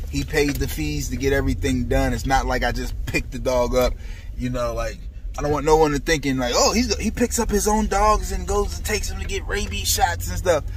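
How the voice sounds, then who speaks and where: Over light background noise, a man is heard in a dry sound with no echo. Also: fairly quick pace. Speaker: dog breeder vlogger. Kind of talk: casual vlog chat. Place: car. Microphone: phone near.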